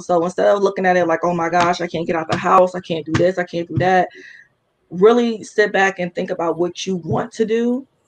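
A woman talks at a fairly quick pace in a medium pitch with ordinary pitch variation, an unremarkable speaking voice. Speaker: small business owner, cosmetics. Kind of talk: casual chat.

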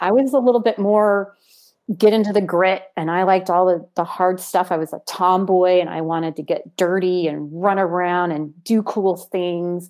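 Recorded very cleanly against a silent background, a woman uses an ordinary speaking voice at medium pitch, with fairly even intonation and a moderate pace. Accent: American. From United States. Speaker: army veteran and theater managing director. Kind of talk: casual chat.

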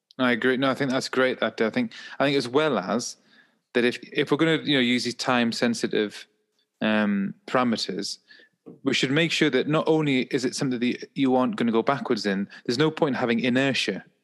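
This man has an English accent and a medium pitch with ordinary pitch variation, moving at a fairly quick pace. His loudness stays very even over a quiet background. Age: 30s. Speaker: podcast co-host and mental health professional. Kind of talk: casual chat.

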